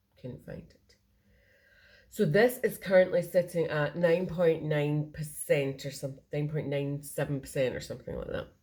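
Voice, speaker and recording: A Scottish accent carries a dark, mellow, somewhat breathy tone. Loudness swings widely while pitch varies in an ordinary way. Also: woman, very deep, low pitch for a woman. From Scotland. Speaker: cross-stitch video creator. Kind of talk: casual show-and-tell vlog. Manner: fast.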